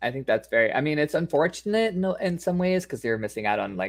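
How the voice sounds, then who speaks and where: A man with an American accent, fairly quick pace, and very wide pitch swings. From New York. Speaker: PR consultant. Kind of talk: casual chat. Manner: fast.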